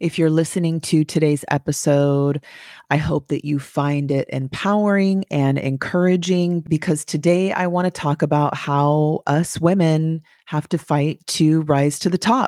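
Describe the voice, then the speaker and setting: The pace of speech is fairly slow. The recording is very clean, and the background is silent. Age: 40s. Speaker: podcast host. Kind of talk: solo podcast monologue, empowerment talk. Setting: home recording, early morning. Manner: animated, motivational.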